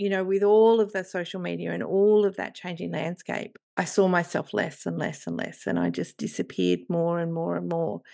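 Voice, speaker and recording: Over a quiet background, a woman with an Australian accent talks at a moderate pace with hardly any pauses. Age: 50s. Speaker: podcast co-host and writer. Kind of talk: casual chat.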